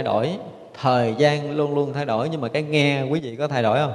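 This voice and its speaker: There is noticeable background noise behind a man's voice. He talks at a moderate pace with a fairly high pitch and fairly even intonation. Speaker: Buddhist monk, abbot. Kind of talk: dharma talk. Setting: temple. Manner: frequent filler pauses.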